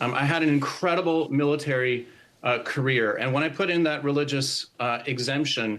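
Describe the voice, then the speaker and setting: This man has an unremarkable speaking voice, pitched fairly high, with ordinary pitch variation. He talks at a moderate pace. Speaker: army veteran and singer. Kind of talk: interview answer. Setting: TV remote interview.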